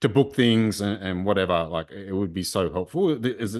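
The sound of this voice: The intonation is lively. The pace is moderate. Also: man, fairly low pitch for a man.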